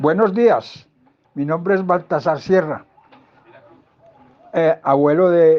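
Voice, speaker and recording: At a very slow pace, a man speaks with a fairly high pitch. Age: 80s+. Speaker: student's grandfather. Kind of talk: personal testimony. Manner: halting.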